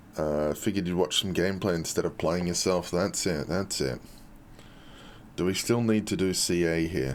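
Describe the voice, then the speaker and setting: At a moderate pace, a man speaks with a very deep, low pitch, very even loudness and ordinary pitch variation. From Australia. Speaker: game community streamer. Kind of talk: live stream chat and gameplay showcase.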